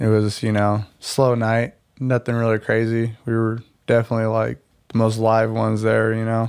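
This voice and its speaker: In a very clean recording with a silent background, a man speaks with monotone, flat intonation. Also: medium pitch for a man, moderate pace. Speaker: podcast guest. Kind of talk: casual chat. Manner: loud.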